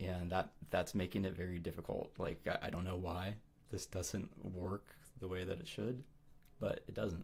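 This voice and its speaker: Somewhat breathy and very deep and low, a man talks in a monotone, flat intonation. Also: moderate pace. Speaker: livestreamer giving advice. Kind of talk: casual livestream chat. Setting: live stream with chat. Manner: casual, halting with fillers.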